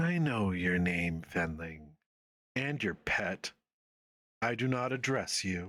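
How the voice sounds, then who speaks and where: A man uses a put-on character voice that is raspy with a very deep, low pitch, speaking at a fairly slow pace with long, frequent pauses. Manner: cold, dismissive.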